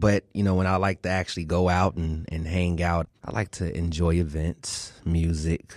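On a very clean recording with a silent background and a dry, close sound with no echo, a man with a very deep, low voice speaks at a moderate pace with monotone, flat intonation and hardly any pauses. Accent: American. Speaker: radio host.

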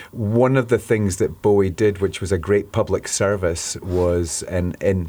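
A man speaks with a Scottish accent in a dark, mellow tone and ordinary pitch variation, on a very clean recording with a silent background. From Scotland. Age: 50s. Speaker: rock singer. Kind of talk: radio interview. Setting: studio.

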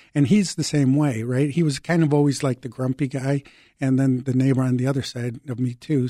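A man with a Chicago accent, medium pitch and a dark, mellow tone, at a fairly quick pace with fairly even intonation, in a dry, close sound with no echo. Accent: Chicago American. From Chicago, moved from Mexico at six. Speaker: civilian hero award recipient. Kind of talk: interview.

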